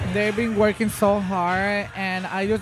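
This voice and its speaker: A woman speaks with a Spanish accent in monotone, flat intonation at a medium pitch. Music plays in the background, and the room echo is audible. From Mexico. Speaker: event MC. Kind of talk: casual interview. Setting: live event venue, noisy.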